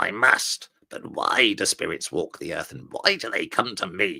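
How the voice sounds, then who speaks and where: A man's put-on character voice, growling along at a moderate pace. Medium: read story. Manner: caustic, cold.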